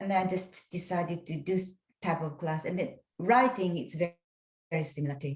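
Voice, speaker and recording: Somewhat breathy and fairly low in pitch, a woman with a Japanese accent talks at a fairly quick pace with ordinary pitch variation. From Japan, Kansai (Nara). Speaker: English teacher. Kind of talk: interview. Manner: halting.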